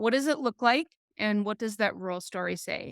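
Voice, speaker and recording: Loud and dry, close with no echo, a woman's fairly high voice carries an American accent and ordinary pitch variation. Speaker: business teacher. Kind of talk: podcast interview. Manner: animated.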